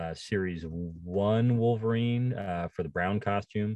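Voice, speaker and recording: A man speaks in an unremarkable speaking voice, fairly low in pitch, with ordinary pitch variation at a fairly slow pace against a quiet background. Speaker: toy company representative and collector. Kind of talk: casual interview chat.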